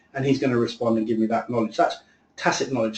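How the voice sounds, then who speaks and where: A man rushes along at a very fast pace while noticeable background noise plays behind him. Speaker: software presenter. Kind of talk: webinar presentation.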